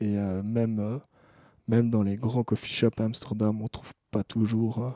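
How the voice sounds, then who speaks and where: Dry and close with no echo, a man's medium-pitched voice has a dark, mellow tone and monotone, flat intonation. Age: 20s. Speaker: student cannabis grower. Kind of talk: interview.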